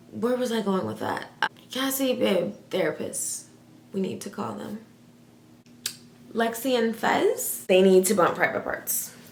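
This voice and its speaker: A woman speaks in an animated tone at medium pitch and a fairly slow pace, with long, frequent pauses. Her pitch varies in an ordinary way, with noticeable background noise. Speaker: youtuber. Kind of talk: casual reaction vlog.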